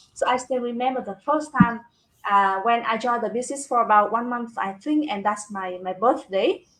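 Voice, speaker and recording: The speaker has a Vietnamese accent and ordinary pitch variation. The pace is moderate. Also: woman, fairly high pitch for a woman. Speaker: business talk show host, construction manager. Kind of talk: casual live-stream interview chat. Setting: live video stream. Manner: halting, with repeated words and fillers.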